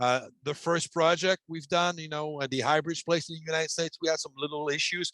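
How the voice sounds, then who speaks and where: A man with a French accent at a fairly quick pace, the sound dry with no echo. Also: quiet background. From Quebec. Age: 50s. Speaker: ventilation manufacturer executive. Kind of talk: webinar presentation and Q&A; interview answer. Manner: halting, many fillers. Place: home room. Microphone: headset.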